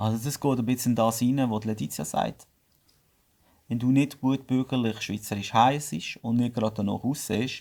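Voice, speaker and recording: A man with a Swiss German accent talks at a moderate pace and medium pitch, with ordinary pitch variation. The recording is very clean, with a silent background. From Switzerland. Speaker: business owner. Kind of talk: podcast interview.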